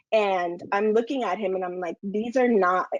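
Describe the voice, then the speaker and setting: A woman with a Spanish accent speaks at a moderate pace and medium pitch, her intonation lively. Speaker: lactation consultant. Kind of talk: casual panel discussion.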